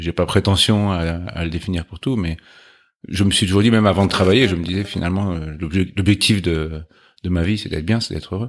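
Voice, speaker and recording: A man speaks with a very deep, low pitch. His pace is fairly quick and his intonation fairly even. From Paris region, Chatou (Yvelines). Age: 40s. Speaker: company CEO, engineer. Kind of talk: interview conversation.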